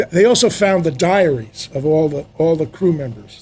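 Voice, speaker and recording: A dark, mellow, somewhat breathy voice at a moderate pace, with lively intonation. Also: man. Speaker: film sound mixer. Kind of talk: casual interview.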